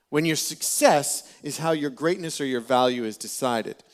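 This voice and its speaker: In a very clean recording with a silent background, a man with a Canadian accent speaks at a moderate pace in an animated tone, his fairly high pitch showing ordinary pitch variation. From Ontario, Canada (Peterborough). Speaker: pastor. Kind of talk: sermon.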